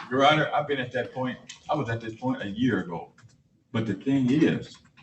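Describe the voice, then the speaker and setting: Audible room echo surrounds a man speaking fairly quickly at a medium pitch with ordinary pitch variation. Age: 80s+. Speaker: party in a court case. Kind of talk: court hearing testimony.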